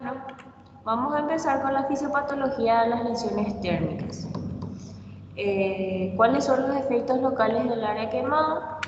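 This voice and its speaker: A woman speaks at a fairly slow pace with ordinary pitch variation, with audible room echo and noticeable background noise. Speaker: physician teaching a university class. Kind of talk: lecture. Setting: virtual class.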